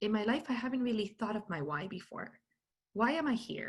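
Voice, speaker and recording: Bright and sharp in tone, a woman's voice sits at a fairly high pitch. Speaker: keynote speaker on personal branding. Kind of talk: talk.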